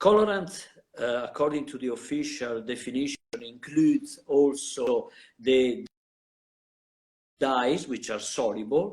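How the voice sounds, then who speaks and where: A fairly high-pitched man with an Italian accent, lively intonation and long, frequent pauses. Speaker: professor. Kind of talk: lecture. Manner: halting.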